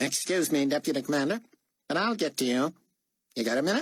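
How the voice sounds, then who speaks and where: In a put-on character voice that sounds nasal, the speaker races at a very fast pace with lively intonation and very even loudness, the sound dry and close with no echo. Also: man, fairly high pitch for a man. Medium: read story. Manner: muffled, as if no tongue or nose; shrewd, suspicious.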